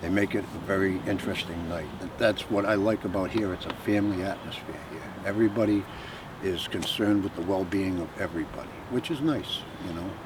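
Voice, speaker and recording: Noticeable background noise runs under this recording. A man talks at a fairly quick pace and a fairly low pitch. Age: 60s. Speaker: drive-in regular. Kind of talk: interview.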